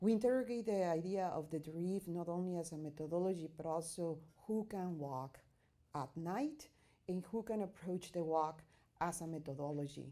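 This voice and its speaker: A dark, mellow tone comes through in a Spanish accent. The pace is moderate and the pitch varies in an ordinary way. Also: woman, fairly low pitch for a woman. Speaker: artist and researcher. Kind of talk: conference presentation. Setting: academic conference. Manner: halting, with many fillers.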